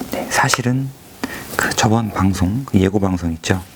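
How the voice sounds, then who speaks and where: Over noticeable background noise, a man speaks quietly and fairly slowly, his fairly low pitch showing ordinary variation. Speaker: government PR officer. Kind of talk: casual chat; reading aloud. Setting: empty office at dawn. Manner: quiet, ASMR-style.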